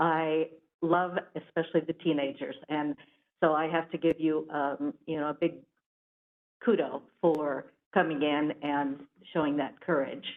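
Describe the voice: The delivery moves at a fairly slow pace with fairly even intonation. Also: woman, low pitch for a woman.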